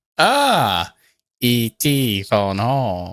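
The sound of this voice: This is a man doing a put-on character voice. His pitch sits in the medium range.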